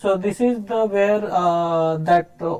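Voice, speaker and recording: A man talks with an Indian accent. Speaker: photographer. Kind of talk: live talk with slides. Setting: live online session. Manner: halting, many fillers.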